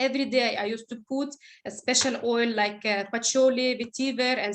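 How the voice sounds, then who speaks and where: The background is quiet. A woman talks in a high voice with fairly even intonation. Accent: non-native. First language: not English. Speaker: essential oils presenter. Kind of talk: presentation. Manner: halting.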